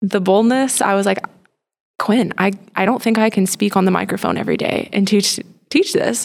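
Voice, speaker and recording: A woman speaks with an ordinary speaking voice and an American accent, at medium pitch with ordinary pitch variation. Her pace is moderate and her loudness very even. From Texas, Plano. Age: 20s. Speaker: instructional coach for a mentoring program. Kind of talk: casual interview.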